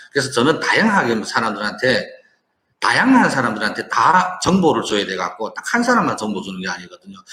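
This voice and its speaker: This man's voice sits at a medium pitch and makes very wide pitch swings. He talks at a fairly quick pace. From China. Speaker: online business owner and entrepreneur. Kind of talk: casual monologue to viewers, business talk. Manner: halting, with frequent repetitions and restarts.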